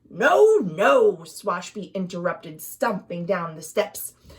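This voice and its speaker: A woman puts on a gruff, rumbling character voice with very wide pitch swings. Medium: read story. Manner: gruff, grumbling.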